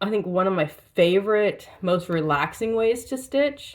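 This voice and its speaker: Fairly slow speech from a woman with an American accent. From Washington State, US Pacific Northwest. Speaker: cross stitch vlogger. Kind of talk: casual show-and-tell vlog. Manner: hesitant, many fillers.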